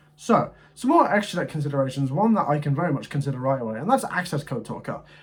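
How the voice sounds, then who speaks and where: Over noticeable background noise, a man with a fairly high pitch talks very fast with lively intonation. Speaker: gaming content creator. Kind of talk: deck review commentary.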